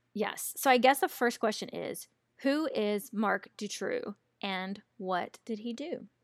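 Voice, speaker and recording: Recorded very cleanly against a silent background, with a dry, close sound with no echo, a woman with a Southern US accent speaks very slowly in a fairly high pitch with ordinary pitch variation. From US South. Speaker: podcast host. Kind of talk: casual chat, true crime storytelling.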